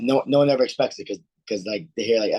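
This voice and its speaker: A man talks at a very fast pace with an American accent. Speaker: MMA fighter and martial arts instructor. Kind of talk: interview. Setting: live video chat. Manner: fast when excited, words melting together.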